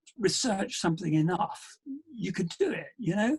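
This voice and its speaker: The speaker has a British accent, lively intonation and a moderate pace. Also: man. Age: old. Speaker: endurance adventurer. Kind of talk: interview answer. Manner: casual, conversational.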